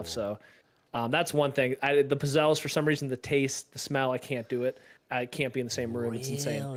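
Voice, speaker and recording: Speaking with an Arizona accent, the voice moves at a fairly quick pace with fairly even intonation. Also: man, medium pitch for a man. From Arizona, USA.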